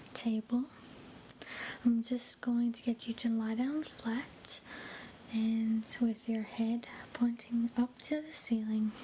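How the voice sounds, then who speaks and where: A woman speaks softly in a gentle tone, with flat, monotone intonation, at a very slow pace. Her long pauses come often, over light background noise. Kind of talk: soft-spoken medical roleplay. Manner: soft, gentle ASMR speaking voice.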